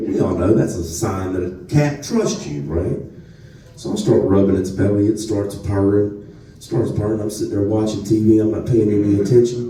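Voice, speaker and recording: Over noticeable background noise and audible room echo, a man with a strong Southern US accent speaks at a moderate pace in a fairly low pitch with ordinary pitch variation. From North Louisiana. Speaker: comedian. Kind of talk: stand-up. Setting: stage with audience. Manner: animated.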